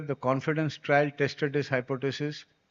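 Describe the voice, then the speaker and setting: With a normal speaking voice, a man of fairly high pitch talks at a moderate pace. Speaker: doctor giving a conference talk. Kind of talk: lecture.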